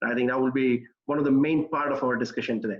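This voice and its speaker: This man talks with fairly even intonation. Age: 40s. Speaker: investor and entrepreneur. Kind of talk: casual talk. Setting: video call. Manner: halting.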